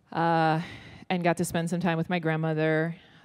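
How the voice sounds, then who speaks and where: The speaker is a woman with a very deep, low pitch. She talks in an American accent. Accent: American-sounding English. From Israel. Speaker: ministry leader. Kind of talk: interview. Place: stage. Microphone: handheld.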